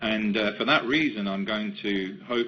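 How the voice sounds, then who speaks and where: A man's fairly low voice with an English accent. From England, London. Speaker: company executive. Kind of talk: webinar presentation. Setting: webcast. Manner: halting.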